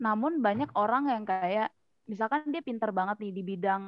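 A woman has a plain, everyday voice with a fairly high pitch. She talks at a moderate pace with lively intonation. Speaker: podcast co-host. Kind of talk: casual chat.

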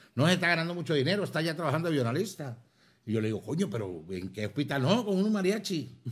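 Very fast speech from a man with a fairly high pitch, very wide pitch swings and vocal fry. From Venezuela, Zulia (Maracaibo). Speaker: comedian and actor. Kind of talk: casual chat over drinks. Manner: animated.

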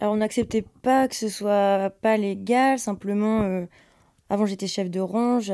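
Speaking at a very slow pace, a woman has a medium pitch and fairly even intonation. Her tone is dark and mellow, on a very clean recording with a silent background. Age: 20s. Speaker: former restaurant worker. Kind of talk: testimony.

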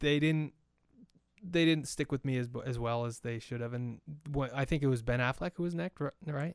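A man speaks in an ordinary speaking voice at a medium pitch and moderate pace, with ordinary pitch variation. The sound is dry and close, with no echo. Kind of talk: casual chat.

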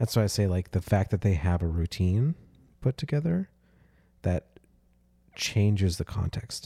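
In a very clean recording with a silent background, a man with a dark, mellow, somewhat breathy tone and fairly low pitch speaks at a moderate pace with lively intonation and long, frequent pauses. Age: 20s. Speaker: podcast host. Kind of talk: casual chat.

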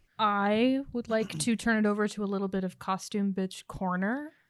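A woman with an ordinary speaking voice, a fairly quick pace and lively intonation. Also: hardly any pauses, big swings in loudness. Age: 30s. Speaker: podcast co-host and cocktail maker. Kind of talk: casual chat; tutorial.

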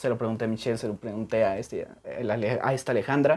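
An ordinary speaking voice from a man, medium in pitch, fairly even in intonation, at a moderate pace. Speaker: podcast host. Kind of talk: casual interview chat.

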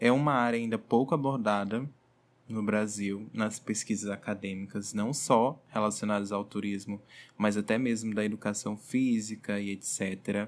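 A normal speaking voice from a man, fairly low in pitch, at a fairly slow pace with fairly even intonation, in a very clean recording with a silent background. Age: 20s. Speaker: tourism graduate, hotel reservations manager. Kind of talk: research presentation.

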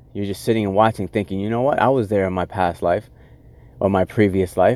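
Talking at a fairly quick pace, a man with a fairly low pitch and ordinary pitch variation has an unremarkable speaking voice. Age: 30s. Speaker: podcast host. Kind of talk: solo motivational monologue. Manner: casual, with many filler words.

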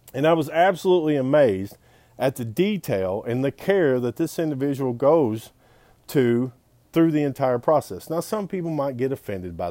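This man has a Southern US accent and a fairly high pitch with a dark, mellow tone. He talks at a moderate pace with lively intonation, and the sound is dry and close with no echo. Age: 40s. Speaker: pawn shop owner. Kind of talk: casual video monologue. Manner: animated.

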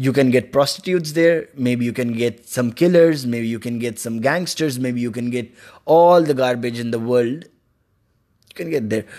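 His tone dark and mellow, a man speaks at a moderate pace with medium pitch and ordinary pitch variation. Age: young. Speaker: solo podcaster. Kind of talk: casual monologue. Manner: halting.

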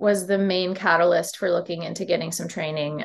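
A woman speaks with an American accent. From upstate New York, Syracuse. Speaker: touring musician. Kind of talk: casual interview chat. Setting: video call.

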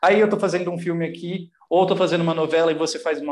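Audible room echo surrounds a man's voice. He talks very fast at a high pitch. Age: 30s. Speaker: actor and writer. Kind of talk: casual chat.

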